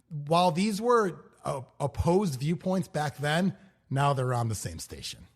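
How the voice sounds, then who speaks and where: A man speaks at a fairly slow pace with a fairly high pitch. His voice is somewhat breathy, with lively intonation. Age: 40s. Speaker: radio host and podcast host. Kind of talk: casual chat.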